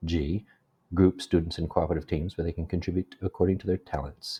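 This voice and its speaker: At a fairly quick pace, a man with a very deep, low pitch talks in a somewhat breathy way. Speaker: graduate student. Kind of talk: educational presentation narration. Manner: less whispery than before.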